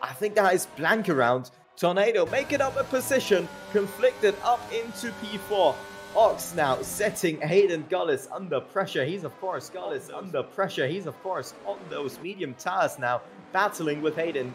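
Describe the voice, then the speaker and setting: The delivery comes at a moderate pace. Music sits in the background. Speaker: esports race commentator. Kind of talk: live race commentary on a sim racing broadcast. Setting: recorded commentary over race footage.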